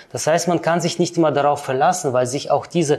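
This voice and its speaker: A man with a slight non-native accent talks in a fairly high, somewhat breathy voice. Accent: slight foreign. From Kyrgyzstan, then Germany. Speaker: finance professional. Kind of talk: interview.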